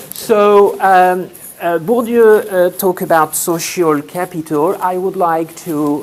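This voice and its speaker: With a French accent, a man talks very slowly in a high pitch with ordinary pitch variation, and noticeable background noise is present. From France. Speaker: sociology lecturer and PhD student. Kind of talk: conference presentation. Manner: halting, many fillers.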